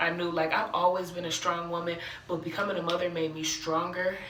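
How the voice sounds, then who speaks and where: A woman with an American accent, her voice fairly low, with audible room echo and noticeable background noise. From Cleveland, Ohio (US Midwest). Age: 20s. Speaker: aspiring motivational speaker, vlogger. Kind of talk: personal testimony monologue. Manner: casual, conversational with fillers.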